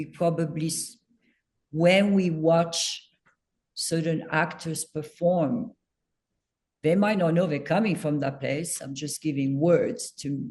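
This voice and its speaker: In a French accent, the words unfold at a fairly slow pace. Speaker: acting coach. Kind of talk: casual chat.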